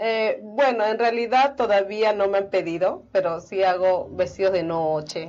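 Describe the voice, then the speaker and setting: At a fairly slow pace, a woman talks with very even loudness, ordinary pitch variation and hardly any pauses. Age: young. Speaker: fashion designer; guest. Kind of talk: interview; interview answer. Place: studio.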